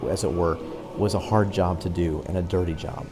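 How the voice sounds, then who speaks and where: A man speaks quietly at a moderate pace over noticeable background noise. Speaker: podcast host, travel presenter. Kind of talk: on-location tour narration. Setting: inside an ossuary crypt. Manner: hushed, keeping voice down; halting, many fillers.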